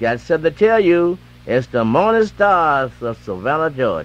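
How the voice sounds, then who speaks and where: Someone with an American accent speaks at a fairly slow pace, the pitch swinging very widely. Faint music sits in the background, and the sound is dry with no echo. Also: man. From Eastern North Carolina. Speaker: radio DJ. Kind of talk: gospel radio DJ patter and live ad reads; radio announcer patter. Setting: AM radio broadcast. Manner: loose, slurred enunciation. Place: studio. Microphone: old recording.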